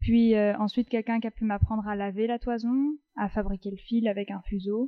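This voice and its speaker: Speaking at a fairly quick pace, a woman has an unremarkable speaking voice. Her pitch is fairly high and her intonation fairly even. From France, Paris. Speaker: textile designer and wool artisan. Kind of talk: casual interview. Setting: her workshop.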